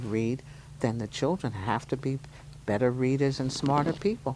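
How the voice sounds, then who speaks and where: This woman's pitch is very deep and low. She speaks at a moderate pace. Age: 70s. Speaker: toy store owner and retired teacher. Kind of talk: casual interview.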